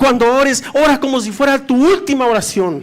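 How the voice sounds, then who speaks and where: With ordinary pitch variation, the speaker uses an animated tone at a moderate pace. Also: man. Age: 60s. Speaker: pastor. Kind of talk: sermon. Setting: church.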